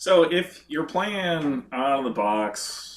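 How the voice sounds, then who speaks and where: Speaking at a very slow pace, the voice has lively intonation and an American accent. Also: man. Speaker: board game expert. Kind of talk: casual chat.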